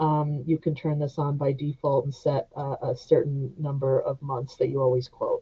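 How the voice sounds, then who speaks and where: A woman speaks at a moderate pace, her voice somewhat breathy. Her intonation stays monotone and flat. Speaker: software trainer. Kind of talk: webinar tutorial. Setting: online webinar.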